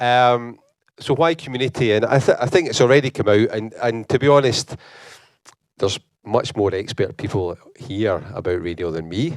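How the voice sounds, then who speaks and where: This is a man with a Scottish accent and a medium-pitched voice. The recording is very clean, with a silent background. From Scotland, Glasgow. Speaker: university lecturer, conference speaker. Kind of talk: conference talk. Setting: conference hall with audience. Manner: fast; halting, many repetitions.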